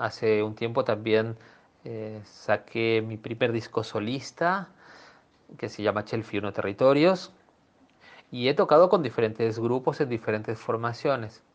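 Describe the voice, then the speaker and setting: A man with an unremarkable speaking voice talks at a fairly slow pace, his medium pitch rising and falling in an ordinary way. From Peru. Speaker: cellist. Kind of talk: interview.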